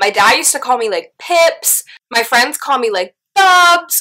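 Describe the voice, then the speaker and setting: Over noticeable background noise, someone speaks in a raised, projected voice with an animated tone. The pitch swings very widely. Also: woman. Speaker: YouTuber. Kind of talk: casual vlog Q&A. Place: home room. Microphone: distorted audio; phone near.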